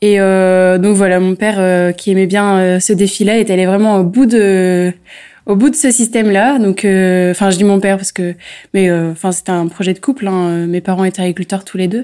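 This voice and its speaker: Recorded very cleanly against a silent background, a woman of medium pitch talks at a moderate pace. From northern France, local to the town. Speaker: organic farmer and local councillor. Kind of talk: interview. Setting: on location at her farm. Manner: halting, many repetitions and fillers.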